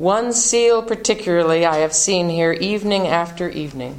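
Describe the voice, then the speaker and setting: This woman has a plain, everyday voice at medium pitch. Her pitch varies in an ordinary way. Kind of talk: reading poetry aloud.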